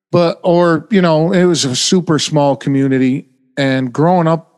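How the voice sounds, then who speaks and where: A man with an American accent, a plain, everyday voice, fairly high pitch and ordinary pitch variation. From upstate New York. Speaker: former sales manager and poker player. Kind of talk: casual chat.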